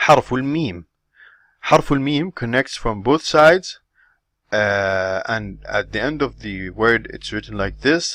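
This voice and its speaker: A man talks with lively intonation at a medium pitch. The background is quiet. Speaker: Arabic language teacher. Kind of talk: lecture. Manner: halting, many repetitions.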